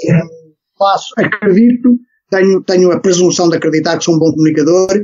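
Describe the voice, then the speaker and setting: The speech moves fairly quickly. Its pitch varies in an ordinary way. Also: man. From Portugal, Lisbon area (Algés). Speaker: swimming coach. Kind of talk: podcast interview. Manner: hesitant, many fillers and repetitions.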